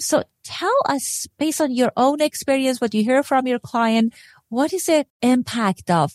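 Recorded with a dry, close sound and no echo, a woman with a non-native accent speaks at a fairly slow pace. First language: not English. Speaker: podcast host and clinical psychologist. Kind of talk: interview.

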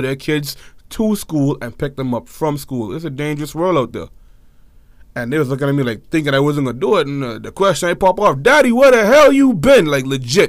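Speaking very fast in a Bahamian accent, a man with a fairly high voice and lively intonation comes through on a very clean recording with a silent background. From Bahamas. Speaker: podcast co-host. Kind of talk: casual chat.

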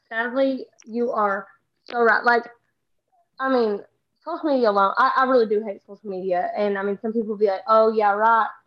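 A woman speaks with a Southern US accent. Her pitch is fairly high, with ordinary variation. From Texas. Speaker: social media comedian. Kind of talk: casual chat. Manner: fast talker.

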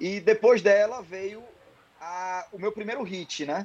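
The speaker is male. His pitch rises and falls in an ordinary way. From Ceará, Brazil. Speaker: songwriter and singer. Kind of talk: casual interview. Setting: remote call from home.

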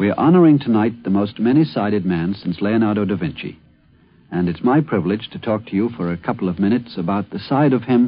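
A plain, everyday voice with lively intonation at a fairly quick pace. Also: man. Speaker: commentator. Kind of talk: radio essay commentary.

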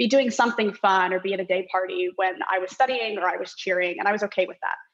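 A woman with an American accent and a normal speaking voice, medium in pitch, at a fairly quick pace. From Orange County, California. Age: 20s. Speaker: law student. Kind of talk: casual chat.

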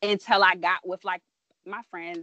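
Here is a woman with an American accent and a fairly low pitch. She speaks at a moderate pace in an unremarkable speaking voice. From Southern Maryland, US. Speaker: podcast host. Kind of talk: casual interview chat.

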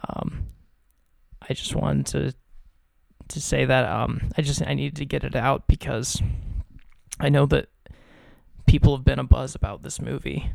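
A man whispers at a moderate pace with vocal fry, leaving long, frequent pauses. His loudness swings widely. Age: 20s. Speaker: podcast co-host. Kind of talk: casual chat. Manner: whispering; hesitant, many fillers.

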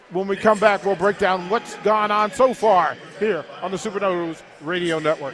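This man has a high pitch, ordinary pitch variation and a moderate pace. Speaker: radio play-by-play announcer. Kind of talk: live sports commentary, play-by-play. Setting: courtside in the arena, crowd present. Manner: enthusiastic, hype-builder.

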